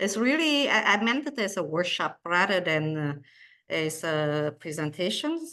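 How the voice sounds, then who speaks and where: Against a quiet background, a bright, sharp voice moves fairly slowly through very wide pitch swings. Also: woman. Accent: non-native. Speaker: cardiologist and researcher. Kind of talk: lecture. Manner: slow, hesitant with many fillers.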